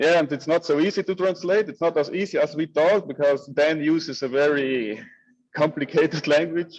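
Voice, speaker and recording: A man with a German accent, fairly high in pitch, at a moderate pace and with ordinary pitch variation. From Italy, South Tyrol (Bolzano). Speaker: community member, translator. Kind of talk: group video call discussion. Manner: halting.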